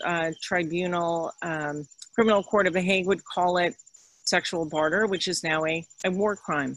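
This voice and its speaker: A woman with an American accent speaks at a moderate pace in an ordinary speaking voice, her medium pitch held in fairly even intonation. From New York (Upper West Side). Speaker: lecturer, author. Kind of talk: lecture Q&A.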